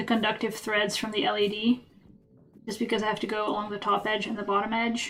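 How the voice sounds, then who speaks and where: This woman has a fairly high pitch. She speaks with a Dutch accent. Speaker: craft streamer. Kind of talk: live stream chat while crafting.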